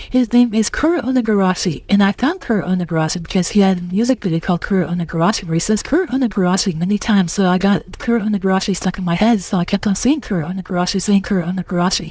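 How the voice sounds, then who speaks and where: Noticeable background noise accompanies this woman's voice. She rushes along very fast, hardly pausing at all. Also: medium pitch for a woman, ordinary pitch variation, very even loudness. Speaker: content creator. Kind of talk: casual chat. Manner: stutter; halting.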